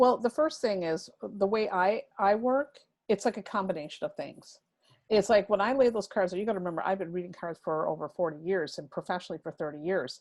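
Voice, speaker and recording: At a fairly quick pace, a woman with an American accent uses lively intonation in a medium pitch, captured in a very clean recording with a silent background. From US Midwest, rural Wisconsin near Milwaukee. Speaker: tarot reader. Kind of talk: interview conversation. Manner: fast; animated.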